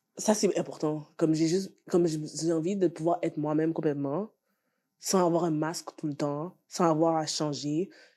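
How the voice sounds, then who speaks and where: In a Haitian accent, a woman speaks at a moderate pace with fairly even intonation. Her very deep, low pitch has a dark, mellow tone, captured in a very clean recording with a silent background. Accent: Haitian Creole. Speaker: podcast guest. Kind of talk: casual discussion. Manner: halting, filler-heavy.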